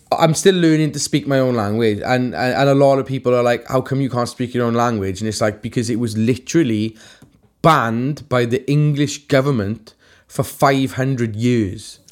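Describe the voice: A man speaks in a Welsh accent at medium pitch. His pace is moderate and his pitch varies in an ordinary way.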